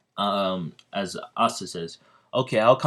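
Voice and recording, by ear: Someone reading aloud in a natural voice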